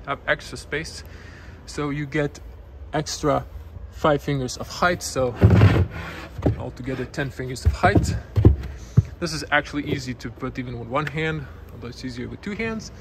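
A man talks at a moderate pace with long, frequent pauses over loud background noise. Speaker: car reviewer. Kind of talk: walkaround commentary. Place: shop. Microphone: phone near.

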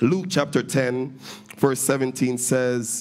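A man talks very slowly, with faint music in the background. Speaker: minister preaching. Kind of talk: sermon scripture reading. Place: church. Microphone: handheld.

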